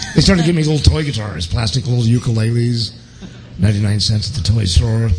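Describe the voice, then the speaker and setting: Noticeable background noise sits behind a man with a New York accent, who talks very fast at medium pitch in an animated tone with lively intonation. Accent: sounds like a New Yorker. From Portland, Oregon. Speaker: guitarist. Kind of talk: interview.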